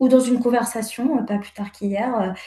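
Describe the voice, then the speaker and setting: At a moderate pace, a woman speaks with a fairly high pitch and a dark, mellow tone. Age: 30s. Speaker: therapy client. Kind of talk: personal testimony in consultation. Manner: halting, many hesitations.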